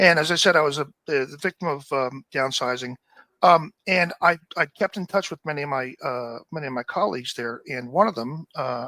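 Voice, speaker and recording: A man with an American accent speaks at fairly high pitch with a bright, sharp tone, ordinary pitch variation and a moderate pace. The sound is dry and close with no echo, on a very clean recording with a silent background. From US, New Jersey. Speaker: project manager. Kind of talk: podcast interview. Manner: halting, many fillers.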